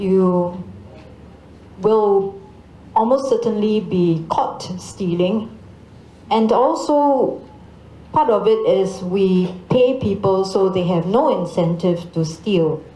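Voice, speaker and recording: A woman at a very slow pace with long, frequent pauses and very even loudness, amid audible room echo and noticeable background noise. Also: medium pitch for a woman, ordinary pitch variation. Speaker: ambassador. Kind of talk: panel Q&A answer.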